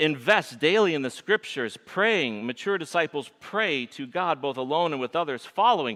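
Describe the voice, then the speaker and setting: Using a Michigan accent, a man speaks at a moderate pace in a fairly high, bright, sharp voice with vocal fry and very wide pitch swings. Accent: Michigan nasal. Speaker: pastor. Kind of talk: sermon.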